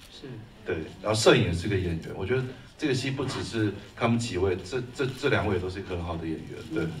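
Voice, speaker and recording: Over light background noise, a man with a Taiwanese accent speaks at a fairly quick pace in a fairly low pitch with lively intonation. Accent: Taiwanese Mandarin. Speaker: screenwriter and film producer. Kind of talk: post-screening Q&A. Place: hall.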